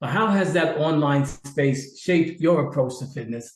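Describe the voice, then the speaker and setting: A somewhat breathy man's voice, fairly high in pitch, moderate in pace, with ordinary pitch variation. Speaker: podcast host, fitness studio owner. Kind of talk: podcast interview host.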